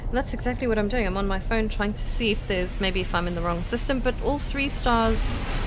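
A woman with a fairly high pitch talks at a fairly quick pace with hardly any pauses, her loudness very even and her pitch variation ordinary, with music in the background and audible room echo. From Australia. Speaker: gaming streamer. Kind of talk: casual chat. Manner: animated.

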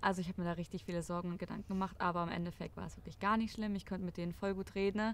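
A woman speaks at a very fast pace with hardly any pauses. Her intonation is monotone and flat. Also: dry sound with no echo. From Germany. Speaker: former exchange student. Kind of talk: casual chat. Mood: relaxed, reflective. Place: garden.

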